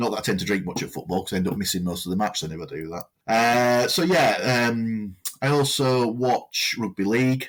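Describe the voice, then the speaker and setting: Fairly low male voice in a Lancashire accent with lively intonation, on a very clean recording with a silent background. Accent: northern English (Lancashire). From northern England, Lancashire. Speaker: podcast co-host, volunteer radio presenter. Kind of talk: casual chat.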